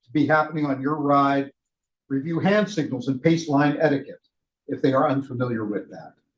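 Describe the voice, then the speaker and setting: A man speaks loudly. His pitch is fairly high. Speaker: cycling ride leader trainer. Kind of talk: training session.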